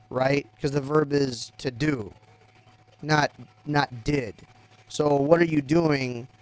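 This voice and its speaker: Over noticeable background noise, a man with an American accent speaks very slowly at a fairly high pitch, with fairly even intonation and long, frequent pauses. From US South, Texas (Rio Grande Valley). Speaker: gaming live streamer. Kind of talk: casual chat. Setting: live stream. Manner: halting.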